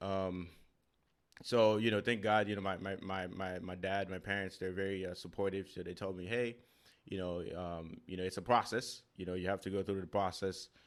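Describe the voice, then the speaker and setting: In a Haitian accent, a man with a very deep, low pitch speaks at a moderate pace with fairly even intonation on a very clean recording with a silent background. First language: Haitian Creole. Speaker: podcaster and real estate investor. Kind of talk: casual interview conversation. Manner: halting, with many repetitions and fillers.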